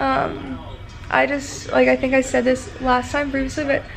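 A woman speaking, faint music in the background. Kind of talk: casual vlog chat. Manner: weak, drowsy post-surgery voice. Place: home room. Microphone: phone near.

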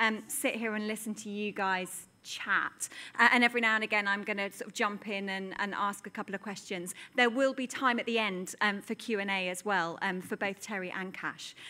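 This woman speaks at a moderate pace in a bright, sharp tone. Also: fairly even intonation. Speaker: event host, moderator. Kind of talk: event introduction to an audience. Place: stage. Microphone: studio mic.

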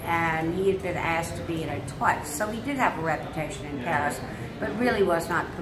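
A woman is talking while noticeable background noise carries on. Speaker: interviewee. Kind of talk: interview answer. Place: home room. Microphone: phone near.

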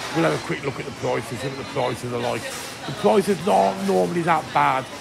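Clear music plays in the background while a man talks at a fairly quick pace. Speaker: travel vlogger. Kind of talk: casual vlog chat. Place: hall. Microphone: phone near.

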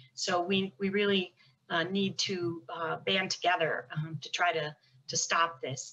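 An unremarkable speaking voice, this woman talks in an American accent at a fairly slow pace, with a fairly low pitch and fairly even intonation. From United States. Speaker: federal prosecutor; panelist. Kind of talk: panel discussion. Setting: video call. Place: home room. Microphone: video call.

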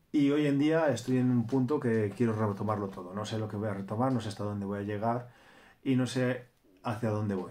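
Dark and mellow in tone, a man's medium-pitched voice moves at a fairly quick pace with ordinary pitch variation. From Spain, Cantabria (Torrelavega); Cantabria, Spain. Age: 30s. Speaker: YouTuber; vlogger. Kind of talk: casual vlog monologue. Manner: animated. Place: home room. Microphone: phone near.

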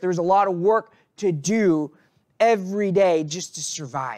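A man talks with ordinary pitch variation against a quiet background. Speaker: priest preaching. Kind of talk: sermon. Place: church. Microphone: podium.

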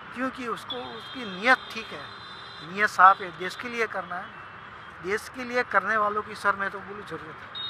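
A man talks at a fairly slow pace in a high pitch for a man, with ordinary pitch variation and big swings in loudness. Noticeable background noise runs under the dry sound, which has no echo. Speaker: city resident in a street interview. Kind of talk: vox-pop interview. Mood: earnest, opinionated. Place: waterside. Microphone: phone near.

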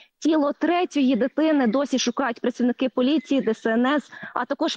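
A woman with a high pitch speaks at a moderate pace. The sound is dry with no echo, over a quiet background. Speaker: TV field correspondent. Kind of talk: live news report. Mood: serious, somber. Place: waterside.

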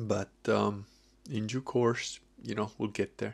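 At a fairly slow pace, a man talks in a fairly low pitch with fairly even intonation. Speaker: vlogger. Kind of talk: casual vlog chat. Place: home room. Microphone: webcam.

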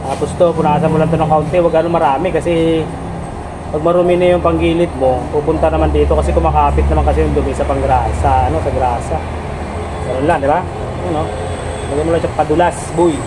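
A man talking very fast against loud background noise. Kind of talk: tutorial. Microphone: phone near.

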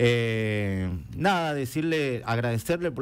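The speaker is a man. His pitch rises and falls in a lively way. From Argentina, Chaco (Colorado area); Chaco, Argentina. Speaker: event organizer and entrepreneur; guest. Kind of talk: interview. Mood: warm, upbeat. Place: studio. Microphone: headset.

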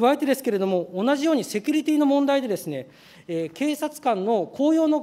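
A man speaks at an extremely high pitch for a man, at a fairly quick pace. His tone is dark and mellow. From Saga Prefecture, Japan; Japan. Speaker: legislator. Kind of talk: parliamentary questioning. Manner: formal. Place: hall. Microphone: podium.

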